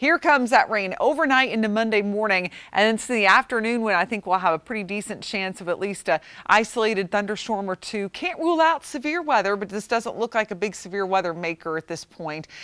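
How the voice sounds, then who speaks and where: A woman speaks at a fairly quick pace with hardly any pauses, her tone warm, upbeat, bright and sharp, with lively intonation over a quiet background. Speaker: TV weather forecaster. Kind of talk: weather report. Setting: TV studio. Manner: conversational, warm and upbeat, with a smooth, steady forecasting pace. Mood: friendly, upbeat. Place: studio.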